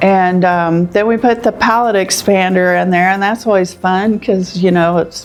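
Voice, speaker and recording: Over noticeable background noise, a woman with an American accent speaks at medium pitch. Her pace is moderate and her intonation monotone and flat. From Kansas. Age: 60s. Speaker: patient, nurse anesthetist. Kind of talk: testimonial interview. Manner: hesitant, conversational with fillers.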